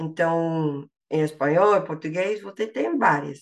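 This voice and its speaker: Against a quiet background, a woman speaks fairly slowly at a fairly low pitch with ordinary pitch variation. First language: English (speaking Portuguese). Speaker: language learner, linguistics graduate. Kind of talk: interview. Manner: halting, many fillers and repetitions.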